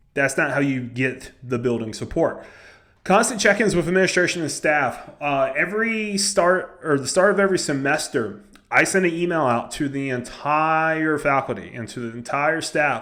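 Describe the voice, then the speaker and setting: This voice has a Southern US accent and a bright, sharp tone. It moves at a moderate pace with lively intonation. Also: man, fairly high pitch for a man. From US South. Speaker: high school head football coach. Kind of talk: coaching advice vlog. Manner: casual, conversational.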